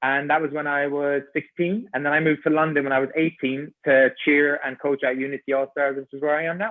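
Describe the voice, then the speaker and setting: A man speaks at a fairly quick pace with an Irish accent, his pitch fairly high. His intonation stays fairly even. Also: hardly any pauses. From Ireland. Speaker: personal trainer and gymnastics coach. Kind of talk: podcast interview.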